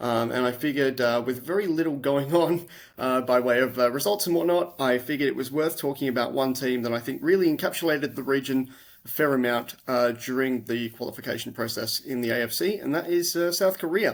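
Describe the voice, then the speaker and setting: Speaking with an Australian accent at a fairly quick pace, a man has a medium pitch with ordinary variation. The recording is very clean, with a silent background. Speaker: podcast host. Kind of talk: casual interview. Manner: hesitant, many fillers.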